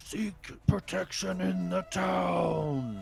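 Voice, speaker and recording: A man in a put-on character voice over clear background noise. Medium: actual play. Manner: blunt, gruff.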